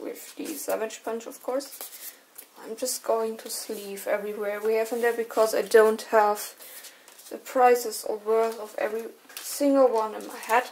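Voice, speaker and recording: Someone with a German accent speaks at a fairly slow pace over noticeable background noise. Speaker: card collector and artist. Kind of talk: unboxing commentary. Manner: casual, hesitant.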